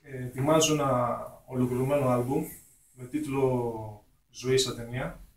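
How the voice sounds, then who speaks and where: Audible room echo surrounds a man speaking at medium pitch and a fairly slow pace in a monotone, flat intonation. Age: 20s. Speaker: hip hop artist. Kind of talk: radio interview. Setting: radio studio.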